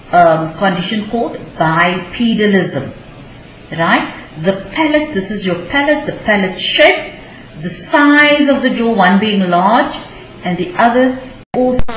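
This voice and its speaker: At a medium pitch, a woman speaks at a fairly slow pace with long, frequent pauses and very wide pitch swings. Audible room echo and noticeable background noise are present. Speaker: teacher. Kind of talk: lecture. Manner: halting, many fillers.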